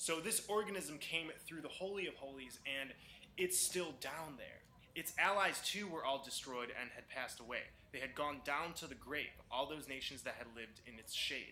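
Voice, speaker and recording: A man's fairly high-pitched, intense voice at a moderate pace, with ordinary pitch variation and audible room echo. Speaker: conspiracy video maker. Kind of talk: monologue reading scripture with commentary.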